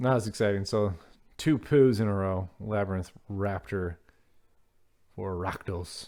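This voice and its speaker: The voice has a dark, mellow tone and ordinary pitch variation, moving at a fairly slow pace. Long, frequent pauses break it up on a very clean recording with a silent background. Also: man. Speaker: card unboxing youtuber. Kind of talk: casual unboxing commentary. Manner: casual, chatty.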